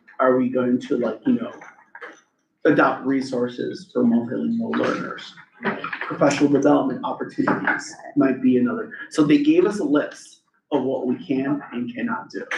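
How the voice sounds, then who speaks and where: Speech at a moderate pace carries an audible echo from the room. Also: man. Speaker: school principal. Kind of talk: public meeting report. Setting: school council meeting.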